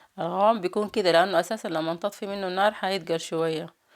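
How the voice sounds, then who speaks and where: A woman speaks with a Sudanese accent at a fairly low pitch. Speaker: cooking vlogger. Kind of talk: cooking tutorial.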